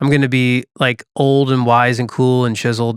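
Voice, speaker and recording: The man has an unremarkable speaking voice at a medium pitch. He speaks at a fairly slow pace. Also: dry, close sound with no echo. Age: 40s. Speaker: podcast co-host. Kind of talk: casual chat.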